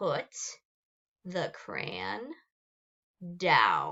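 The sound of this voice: Growling, a woman performs a put-on character voice.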